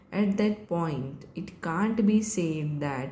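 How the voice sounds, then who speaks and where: The voice is somewhat breathy and dark and mellow in tone, with ordinary pitch variation. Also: woman. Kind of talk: shorthand dictation of a legal judgment summary. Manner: slow, measured dictation pace.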